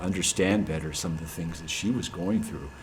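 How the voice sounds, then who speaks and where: Amid noticeable background noise and audible room echo, a man with an American accent speaks at a fairly quick pace in a very deep, low pitch. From US Pacific Northwest. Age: 60s. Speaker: church member. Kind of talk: casual chat. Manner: halting.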